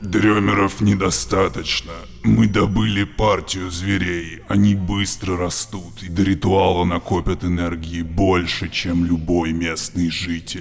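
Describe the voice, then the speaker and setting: Putting on a character voice, a man speaks at a moderate pace with a very deep, low pitch. Background noise is clearly heard. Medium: audio drama. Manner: firm, self-assured.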